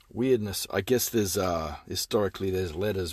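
A man's somewhat breathy voice at a very deep, low pitch, animated yet weary, over a quiet background. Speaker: film reviewer. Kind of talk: angry rant. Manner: animated, sarcastic, fired-up tirade with profane swearing; sighing, weary and exasperated, rambling with filler words.

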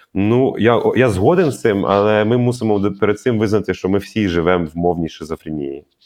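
In a Russian accent, a man talks at a fairly low pitch. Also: ordinary pitch variation, moderate pace, hardly any pauses. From Ukraine, Kharkiv. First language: Russian (speaking Ukrainian). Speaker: film director and radio host. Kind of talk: interview.

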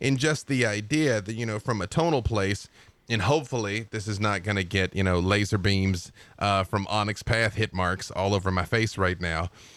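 In a very clean recording with a silent background, a man uses a normal speaking voice at a fairly low pitch with ordinary pitch variation. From US South, Arkansas. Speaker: game writer. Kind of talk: casual chat.

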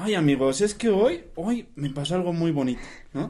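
The voice is a man's. It has a dark, mellow tone. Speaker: podcast host. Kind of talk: casual chat.

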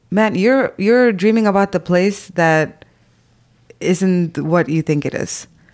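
The recording is very clean with a silent background. A woman at a medium pitch speaks at a very slow pace with ordinary pitch variation. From Zambia (Indian community). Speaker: podcast co-host. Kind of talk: casual chat.

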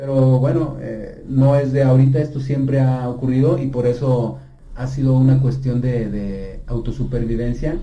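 A man with a dark, mellow tone talks at a medium pitch and moderate pace, somewhat breathy and monotone with flat intonation, amid audible room echo. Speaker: rock pop singer. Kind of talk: interview. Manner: halting, many repetitions.

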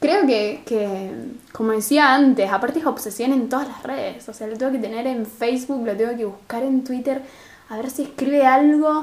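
A woman with a Rosario accent speaks at a moderate pace in a high pitch with ordinary pitch variation. Her loudness swings a lot, and background noise is noticeable. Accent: Rosario Argentine Spanish, drops r and s. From Argentina, Rosario. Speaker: podcast co-host. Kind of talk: casual chat.

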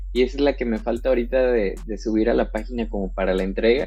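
A man is speaking. Room echo can be heard. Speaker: wedding photographer. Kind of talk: casual interview. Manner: hesitant, many fillers.

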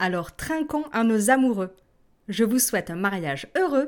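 A woman uses a warm, playful tone at a fairly high pitch. She speaks at a fairly slow pace with very wide pitch swings. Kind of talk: toast speech at a wedding, read aloud as a language-lesson example. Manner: warm, formal and celebratory, with playful teasing.

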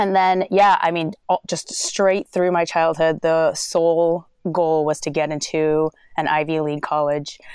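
With an American accent, a woman talks at a fairly slow pace in a fairly low pitch, her intonation monotone and flat. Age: 30s. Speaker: calligrapher and creative entrepreneur. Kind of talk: casual interview.

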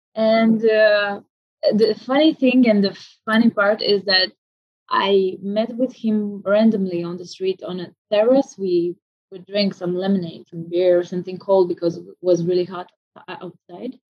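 A woman is speaking at a fairly slow pace. Her pitch varies in an ordinary way. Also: medium pitch for a woman, big swings in loudness. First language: Romanian. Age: 20s. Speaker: orchestral oboist. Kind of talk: interview conversation. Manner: halting, many fillers and repetitions.

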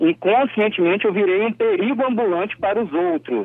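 Here is a man with a high pitch and lively intonation. He moves at a moderate pace. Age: 30s. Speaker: political commentator. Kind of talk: radio commentary.

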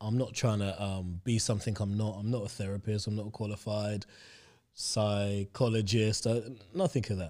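A man's dark, mellow voice, fairly low in pitch, at a moderate pace in a very clean recording with a silent background. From London (Stoke Newington, Hackney), schooled in Hampshire. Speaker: sports agency founder. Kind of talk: casual interview chat.

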